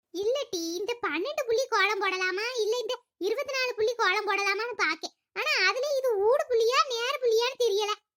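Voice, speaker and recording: The voice is a cartoonish character put on by a woman. It climbs to an extremely high pitch. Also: moderate pace. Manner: chatty, boastful.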